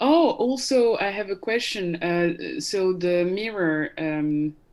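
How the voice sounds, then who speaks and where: In a French accent, a woman speaks at a very slow pace with lively intonation. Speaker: legal service founder. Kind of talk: casual chat. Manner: halting. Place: home room. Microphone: webcam.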